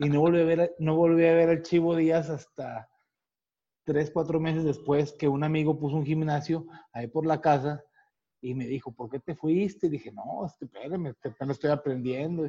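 A man speaks with a dark, mellow tone at a moderate pace. His intonation stays fairly even. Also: fairly high pitch for a man. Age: 40s. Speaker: retired boxer. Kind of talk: casual interview.

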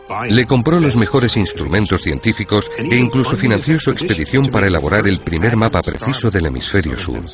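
Over noticeable background noise, a man with a fairly low pitch speaks fairly quickly in a solemn tone, with hardly any pauses. His pitch swings very widely. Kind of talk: nature documentary narration. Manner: measured, solemn, awestruck storytelling pace.

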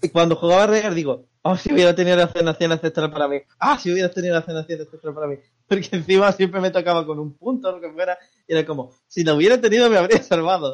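Speaking at a very fast pace, a man uses a high pitch with ordinary pitch variation. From Andalusia, Spain. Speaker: podcast co-host, gamer. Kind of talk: casual chat. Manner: animated.

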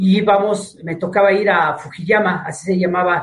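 A man is talking in a high voice. His intonation is fairly even. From Mexico, Tepic (Nayarit). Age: 60s. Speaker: martial arts instructor. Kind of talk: interview. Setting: video call.

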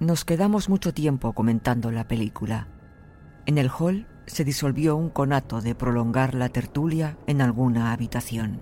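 Music plays behind a man at medium pitch who uses ordinary pitch variation. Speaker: audiobook narrator. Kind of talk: horror story narration, first-person diary, read aloud. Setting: studio. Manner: slow, hushed, suspenseful, creeping dread; measured, deliberate pacing with ominous pauses.

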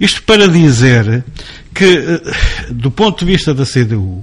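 A man's voice swings very widely in pitch. Noticeable background noise runs behind him. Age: 50s. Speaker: former local politician. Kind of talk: interview.

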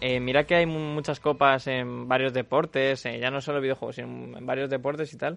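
A man with a Spanish accent talks at a fairly quick pace with hardly any pauses. His medium-pitched voice stays monotone and flat. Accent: Peninsular Spanish. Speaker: radio host. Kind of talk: casual chat.

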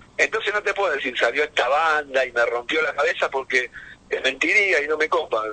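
A man speaks with a Rioplatense accent. His pitch is fairly high, with ordinary variation. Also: fairly quick pace. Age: 50s. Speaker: heavy metal drummer. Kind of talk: casual interview. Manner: animated.

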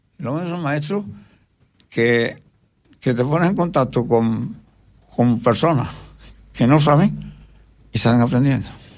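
A man speaks at a medium pitch with lively intonation and a fairly slow pace. Long, frequent pauses fall between his words, with audible room echo. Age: 80s+. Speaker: retired schoolteacher. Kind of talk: interview. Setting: radio studio. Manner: halting.

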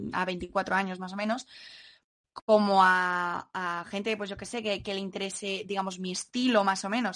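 In a quiet background, a woman with an ordinary speaking voice talks at a medium pitch and a fairly slow pace, with fairly even intonation. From Madrid, Spain. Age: 20s. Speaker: singer-songwriter. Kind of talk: interview.

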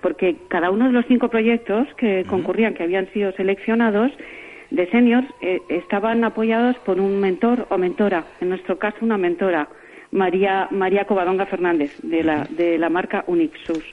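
A woman at a moderate pace, medium pitch with ordinary pitch variation, against noticeable background noise. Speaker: award-winning senior entrepreneur. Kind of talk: radio interview. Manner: halting, many repetitions.

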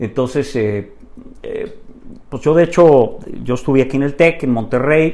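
His pitch shifts with ordinary variation. This man's pace is fairly slow. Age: 50s. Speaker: businessman and amateur tenor. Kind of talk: casual interview chat. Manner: halting, many repetitions.

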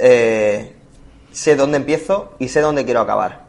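The pace is fairly slow. It is an unremarkable speaking voice. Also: man. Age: 30s. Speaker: podcast host, travel blogger. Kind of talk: casual chat.

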